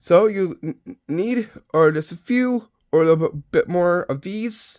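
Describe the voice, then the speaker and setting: A man's high-pitched voice at a very slow pace, with ordinary pitch variation. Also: dry, close sound with no echo. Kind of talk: casual craft tutorial talk to camera. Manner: casual, slightly hesitant.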